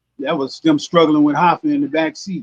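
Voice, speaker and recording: A fairly high male voice at a moderate pace, with a dry, close sound and no echo. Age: 60s. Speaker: self-described witness to a mob killing. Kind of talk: interview testimony. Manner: animated.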